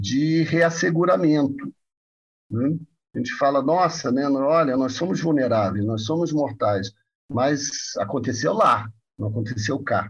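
Somewhat breathy and pitched fairly high, a man speaks at a fairly slow pace with lively intonation. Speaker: psychoanalyst and professor. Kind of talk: interview.

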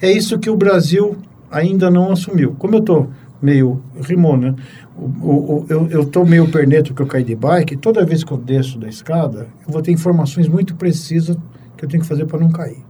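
A man with a fairly high pitch speaks at a moderate pace in a plain, everyday voice. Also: ordinary pitch variation. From Brazil, São Paulo. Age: 60s. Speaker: physician, pathologist. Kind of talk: casual interview conversation.

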